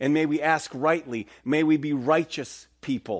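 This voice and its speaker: Over a quiet background, a man with an ordinary speaking voice talks at a fairly high pitch with ordinary pitch variation. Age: 50s. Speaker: pastor. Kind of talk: sermon. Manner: casual, conversational.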